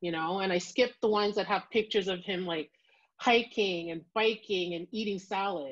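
A woman with a Canadian accent talks at a moderate pace in a medium pitch. Her tone is fairly bright, and her pitch varies in an ordinary way.

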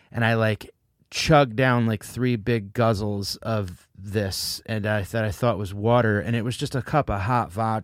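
A man with an American accent and a normal speaking voice, fairly slow, with fairly even intonation, on a very clean recording with a silent background. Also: medium pitch for a man. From New Haven, Connecticut. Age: 40s. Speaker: comedian and podcast host. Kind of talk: sponsor read; casual chat.

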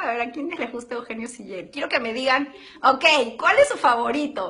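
A woman's raised, projected voice, high in pitch, with an animated, warm tone at a moderate pace over noticeable background noise. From Arequipa, southern Peru. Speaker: actress in a telenovela. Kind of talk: casual live social-media chat with fans. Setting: live video stream from the studio. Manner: animated, warm, enthusiastic.

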